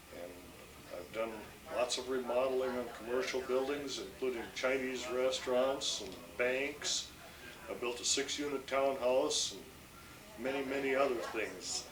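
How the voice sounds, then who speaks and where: With an American accent, a man speaks at medium pitch and a fairly slow pace, with audible room echo and noticeable background noise. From Minnesota. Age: 60s. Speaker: building contractor. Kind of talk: casual family interview.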